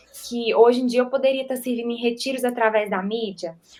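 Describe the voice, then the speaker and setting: The woman's voice is high-pitched and moves at a moderate pace. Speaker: church media volunteer. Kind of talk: testimony.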